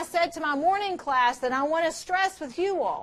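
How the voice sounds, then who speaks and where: A woman with an extremely high voice speaks loudly at a moderate pace. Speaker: chemistry teacher. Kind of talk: lecture. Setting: classroom with students. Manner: intense, gets louder when excited.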